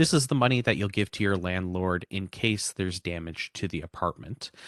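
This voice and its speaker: A man talks at a fairly quick pace with a very deep, low pitch and lively intonation. The sound is dry and close with no echo, over a quiet background. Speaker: housing information presenter. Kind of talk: information session presentation. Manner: fast.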